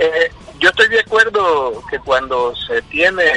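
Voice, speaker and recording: Music plays in the background. The sound is dry and close, with no echo. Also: man. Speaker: football club executive. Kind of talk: radio interview.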